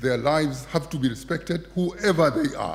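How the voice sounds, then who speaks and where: A man with a Kenyan coastal accent speaks in a fairly high pitch with vocal fry and ordinary pitch variation. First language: Kiswahili. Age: 70s. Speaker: poet. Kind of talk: festival speech before poetry reading.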